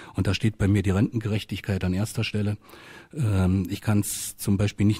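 Against a quiet background, a man speaks fairly quickly with a fairly low pitch, a dark, mellow tone, a somewhat breathy quality and monotone, flat intonation. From Saxony-Anhalt, Altmark; Saxony-Anhalt. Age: 50s. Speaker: politician. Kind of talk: radio panel debate. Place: studio.

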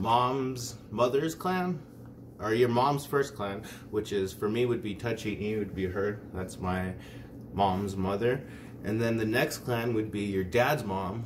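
A fairly slow pace with ordinary pitch variation over noticeable background noise. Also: man, fairly low pitch for a man. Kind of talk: casual tutorial. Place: home room. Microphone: phone near.

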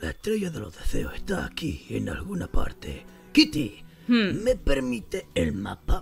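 Someone talks fairly slowly in a put-on character voice. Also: man. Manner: charming, insistent, then impatient.

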